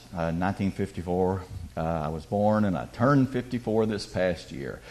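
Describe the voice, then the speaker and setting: A man speaks with a Southern US accent. His pitch is very deep and low. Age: 50s. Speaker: guest speaker. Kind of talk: testimony. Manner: animated.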